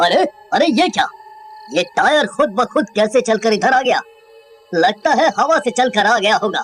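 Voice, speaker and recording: A cartoonish character voice at a fairly high pitch and fairly quick pace, over faint music in the background. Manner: panicky, stammering.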